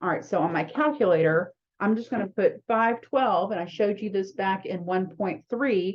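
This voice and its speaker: Here is a woman with an ordinary speaking voice at medium pitch. She keeps a moderate pace with ordinary pitch variation. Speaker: math instructor. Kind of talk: lecture.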